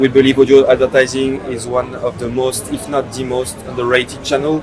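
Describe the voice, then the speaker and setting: Music plays in the background while a man speaks at a moderate pace. He has a French accent and a medium pitch. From France. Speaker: startup CEO. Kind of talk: podcast interview. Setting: at a conference in Miami. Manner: hesitant, many fillers.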